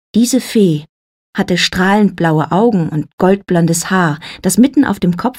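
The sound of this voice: The background is free of noise. Over it comes an unforced reading voice.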